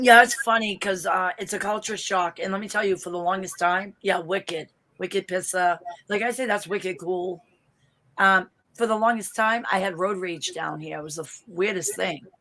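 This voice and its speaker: With a Boston accent and a bright, sharp tone, a woman talks at a moderate pace with fairly even intonation and big swings in loudness. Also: medium pitch for a woman. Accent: thick Boston. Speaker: vlogger. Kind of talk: casual chat.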